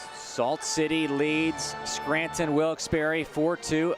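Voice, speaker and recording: A man at a fairly high pitch, talking at a very slow pace over music in the background. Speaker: minor league baseball broadcaster. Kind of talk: baseball play-by-play demo.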